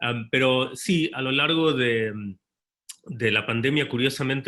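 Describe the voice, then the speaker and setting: The voice belongs to a man. His speech is fairly slow. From Sweden (born in Argentina). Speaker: novelist. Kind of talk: panel discussion. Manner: halting, many fillers and repetitions.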